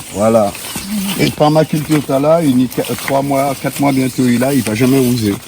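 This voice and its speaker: A man at medium pitch keeps fairly even intonation and a moderate pace, with noticeable background noise behind him. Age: 60s. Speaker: local guide. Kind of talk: casual chat. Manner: halting.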